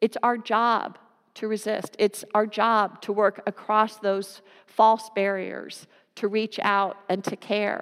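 A woman with an American accent, fairly high in pitch, very slow and monotone, in a dry, close sound with no echo. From US (California and New Jersey). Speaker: pastor. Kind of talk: sermon.

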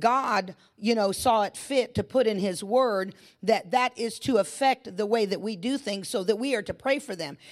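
A woman speaks at a moderate pace with ordinary pitch variation. The recording is very clean, with a silent background. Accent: American. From California. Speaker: pastor. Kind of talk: sermon. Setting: church.

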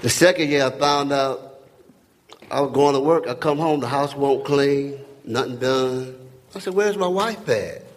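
A man speaks at a fairly high pitch. There is noticeable background noise. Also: ordinary pitch variation, moderate pace. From North Carolina. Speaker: church member. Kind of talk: testimony. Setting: church gathering.

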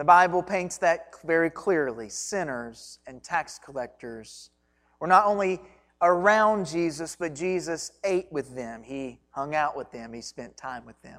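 A woman with a Kentucky accent, fairly low in pitch, at a fairly slow pace, with lively intonation, on a very clean recording with a silent background. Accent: Kentucky Southern US. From Kentucky (Hancock County). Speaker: pastor. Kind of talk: sermon.

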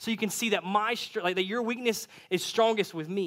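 A man's raised, projected voice with a bright, sharp tone and ordinary pitch variation, on a very clean recording with a silent background. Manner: fast talker; casual, friendly.

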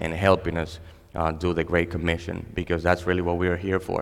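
At a fairly quick pace, a man with a Spanish accent speaks in a very deep, low voice. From Dominican Republic. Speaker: pastor. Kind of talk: sermon. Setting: church stage with audience. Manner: halting.

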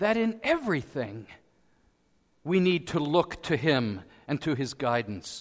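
A man speaks very slowly at a fairly high pitch with very wide pitch swings. The recording is very clean, with a silent background. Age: 60s. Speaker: pastor. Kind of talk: sermon.

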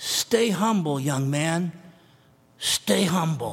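A put-on character voice at a middle pitch, delivered at a very slow pace. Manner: gentle, advising.

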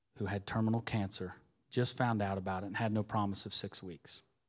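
A man with an Ohio accent speaks at a fairly low pitch in a very clean recording with a silent background. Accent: Midland US, rural Ohio. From southwest Ohio, US (Xenia). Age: 40s. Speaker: lay preacher, former church music leader. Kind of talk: sermon. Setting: church with congregation. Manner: animated, conversational.

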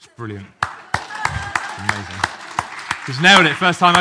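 A man speaks at a high pitch. Crowd noise runs in the background. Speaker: preacher. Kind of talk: sermon. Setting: church.

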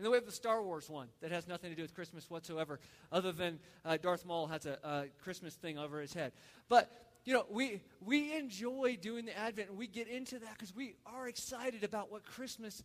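The speech moves at a fairly quick pace with lively intonation and big swings in loudness. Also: man, high pitch for a man. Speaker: pastor. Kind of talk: sermon. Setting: church. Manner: fast; animated.

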